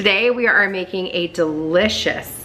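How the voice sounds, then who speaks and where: At a fairly slow pace, a woman talks with a fairly low pitch over light background noise. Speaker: home cooking vlogger. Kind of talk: casual cooking tutorial. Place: kitchen.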